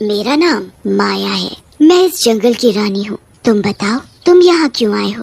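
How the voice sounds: A woman puts on a character voice at a medium pitch. Her pace is moderate.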